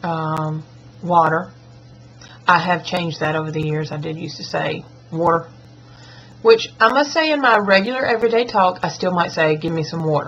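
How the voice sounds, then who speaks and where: A woman with a Southern US accent, fairly low in pitch, at a moderate pace with long, frequent pauses. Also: lively intonation. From US South. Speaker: schoolteacher and vlogger. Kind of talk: accent tag vlog. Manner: casual, chatty.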